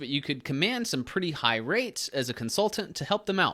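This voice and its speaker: Recorded very cleanly against a silent background, the speaker talks fairly quickly with a Southern accent. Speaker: online business YouTuber. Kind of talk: casual tutorial. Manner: casual, filler-heavy.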